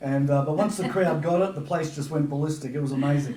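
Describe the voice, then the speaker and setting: Talking at a fairly quick pace, a man with a fairly high pitch and fairly even intonation is heard with audible room echo and noticeable background noise. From Papua New Guinea. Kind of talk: casual interview chat. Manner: halting, many fillers.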